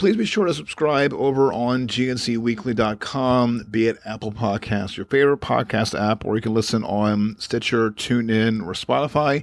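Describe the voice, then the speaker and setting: The recording is very clean, with a silent background. Speech moves at a moderate pace with ordinary pitch variation and hardly any pauses. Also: man, medium pitch for a man. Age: 40s. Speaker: tech podcast host. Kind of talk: solo tech news podcast. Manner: halting, many fillers.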